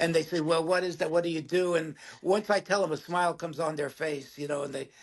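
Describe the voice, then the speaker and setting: A man speaks at a very fast pace with a high pitch, fairly even intonation, and an American accent. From New York City (Bronx). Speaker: film actor. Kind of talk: casual interview.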